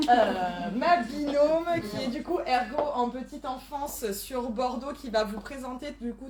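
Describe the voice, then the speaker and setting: Her voice is high-pitched, with ordinary pitch variation. Behind this woman there is noticeable background noise and audible room echo. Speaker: event organizer and host. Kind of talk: event introduction. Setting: live conference, in person and online. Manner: speaking loudly.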